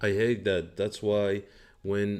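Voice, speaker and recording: A man with a fairly low pitch talks while music plays in the background. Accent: non-native. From Morocco. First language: not English. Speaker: day trader. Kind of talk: live trading stream commentary. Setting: live stream. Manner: slow; halting.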